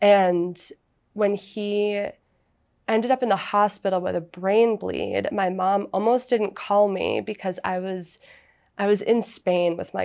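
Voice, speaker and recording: A woman talks with an American accent. Her voice sits at a medium pitch. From New England, Massachusetts. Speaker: family therapist. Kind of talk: casual panel conversation.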